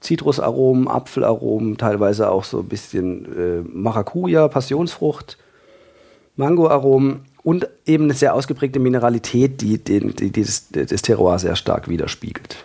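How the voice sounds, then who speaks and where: Using a dark, mellow tone, a man talks at a moderate pace in a medium pitch with lively intonation. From Freiburg, southern Germany. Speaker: trained winemaker and wine enthusiast. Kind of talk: casual expert interview.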